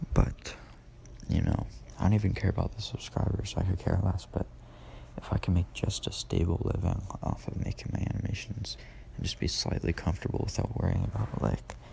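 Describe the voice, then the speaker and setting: A man with a very deep, low pitch speaks at a fairly quick pace, his voice making very wide pitch swings. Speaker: animation content creator. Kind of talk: casual vlog monologue. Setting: living room at home.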